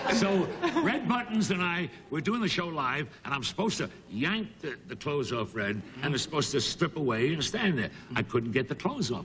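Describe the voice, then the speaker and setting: Over noticeable background noise, a man with a fairly high voice talks at a fairly quick pace, his pitch swinging very widely. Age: 80s+. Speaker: comedian. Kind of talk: interview answer.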